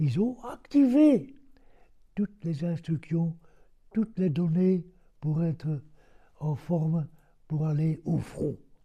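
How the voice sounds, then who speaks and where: A man with a dark, mellow tone and a fairly high pitch speaks at a very slow pace. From Belgium. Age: 80s+. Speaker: war veteran. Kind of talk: interview answer.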